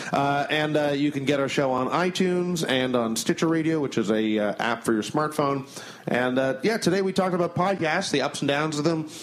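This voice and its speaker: A man at a fairly high pitch and fairly quick pace, with very even loudness, ordinary pitch variation and noticeable background noise. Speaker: podcast host and stand-up comedian. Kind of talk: casual chat.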